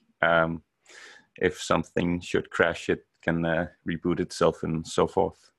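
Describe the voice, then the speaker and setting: The speaker has a Danish accent and talks at a fairly slow pace. The sound is dry and close with no echo, over a quiet background. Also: man. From Denmark. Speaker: software developer. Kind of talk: podcast interview. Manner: hesitant, many fillers.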